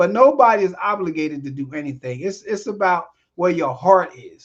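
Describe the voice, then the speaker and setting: A man at a high pitch and moderate pace, with lively intonation and big swings in loudness. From South Jersey, US. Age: 60s. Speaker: screenwriter and director, podcast guest. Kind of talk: casual chat.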